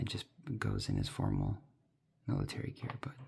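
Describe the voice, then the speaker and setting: Whispering comes at a fairly quick pace through noticeable background noise. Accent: American. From US Midwest. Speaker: ASMR toy unboxing creator. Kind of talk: ASMR unboxing commentary. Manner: soft-spoken; halting.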